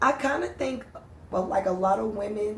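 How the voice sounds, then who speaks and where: A woman's voice with audible room echo. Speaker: podcast co-host. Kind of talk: casual chat. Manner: loud.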